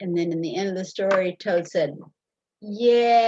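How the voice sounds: Someone reads aloud in a natural reading voice, the pitch varying in an ordinary way. Things are quiet in the background.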